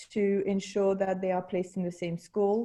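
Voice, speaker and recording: A woman with a French accent talks at a medium pitch in a dark, mellow tone, her intonation flat and monotone. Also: quiet background. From France. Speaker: school technology specialist. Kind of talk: online meeting presentation. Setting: video call. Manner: halting.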